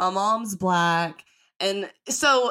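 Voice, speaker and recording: A woman speaks in an animated tone with a Southern US accent. The recording is very clean, with a silent background. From US South. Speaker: podcast host. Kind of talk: casual chat.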